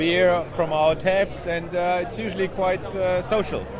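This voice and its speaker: Amid noticeable background noise and audible room echo, a man with a German accent speaks at a moderate pace in a high pitch. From Germany. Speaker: homebrew shop owner and conference organiser. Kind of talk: interview.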